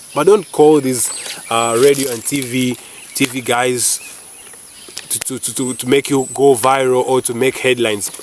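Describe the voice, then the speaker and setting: In a Ugandan accent, a man at medium pitch talks in an animated tone at a moderate pace, with long, frequent pauses, big swings in loudness and noticeable background noise. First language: not English (Ugandan language). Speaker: YouTuber. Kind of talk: casual vlog commentary. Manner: animated, hesitant with repetitions.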